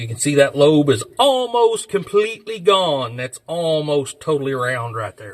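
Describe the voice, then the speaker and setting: A man with a Southern US accent, fairly high in pitch, lively in intonation and fairly slow in pace. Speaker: mechanic and channel host restoring an old truck. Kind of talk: hands-on tutorial with casual chat. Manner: loud.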